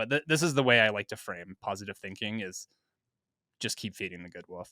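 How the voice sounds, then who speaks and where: In a very clean recording with a silent background, a fairly low-pitched man with an American accent speaks in a bright, sharp tone. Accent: slight Minnesota accent on some vowels. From US Midwest, Minnesota. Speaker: podcast co-host. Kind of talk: casual chat.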